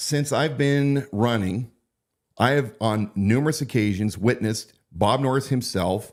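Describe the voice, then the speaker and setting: A man with an American accent in an animated tone, at a fairly slow pace with ordinary pitch variation, on a very clean recording with a silent background. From Pacific Northwest (Idaho area). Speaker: sheriff candidate and live-stream host. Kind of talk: political live-stream commentary. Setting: live-stream broadcast. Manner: animated, hesitant with fillers.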